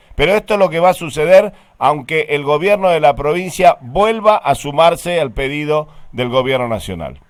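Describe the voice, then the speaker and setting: A man talks in a plain, everyday voice, fairly high in pitch with lively intonation. The pace is moderate, and the recording is very clean with a silent background. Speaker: radio host. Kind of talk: radio interview.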